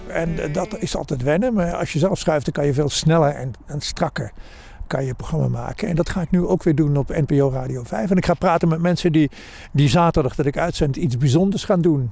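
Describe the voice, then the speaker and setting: Over noticeable background noise, a man talks at a fairly quick pace in a fairly high pitch with ordinary pitch variation. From Limburg, Netherlands. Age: 70s. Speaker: radio presenter. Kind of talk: interview answer.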